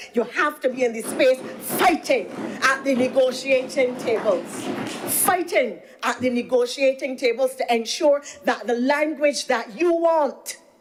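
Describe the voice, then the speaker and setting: Over noticeable background noise, a woman with an animated tone speaks at a high pitch and fairly slow pace, her pitch varying in an ordinary way. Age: 60s. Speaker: government minister. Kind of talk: parliamentary speech.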